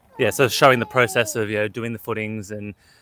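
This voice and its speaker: A bright, sharp tone in an Australian accent. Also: man, dry, close sound with no echo. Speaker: homesteader and vlogger. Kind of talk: casual chat. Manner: hesitant, many filler words.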